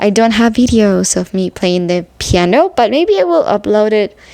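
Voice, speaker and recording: Her speech moves at a moderate pace. Noticeable background noise accompanies this woman. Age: 30s. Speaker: vlogger, amateur musician. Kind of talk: personal vlog, grief talk. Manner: halting, many fillers.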